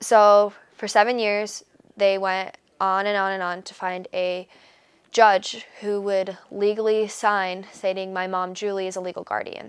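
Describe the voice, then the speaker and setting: In a very clean recording with a silent background, a woman speaks fairly slowly in a flat monotone, her loudness swinging widely. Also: medium pitch for a woman. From Michigan, US. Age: 20s. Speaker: college student. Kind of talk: interview. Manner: hesitant, many fillers.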